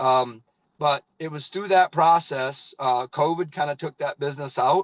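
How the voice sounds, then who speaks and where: A man talks with a Midwestern US accent. The sound is dry and close, with no echo. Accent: rural Midwestern American. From US Midwest, northern Indiana. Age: 50s. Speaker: network marketing leader, former farmer. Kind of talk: testimony. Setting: in a parked car.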